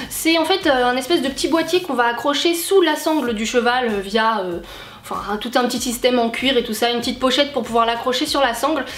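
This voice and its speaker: A woman with a high pitch and ordinary pitch variation speaks at a fairly quick pace amid audible room echo and noticeable background noise. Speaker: YouTuber, horse and dog owner. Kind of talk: casual vlog talk to camera. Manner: many hesitations (euh).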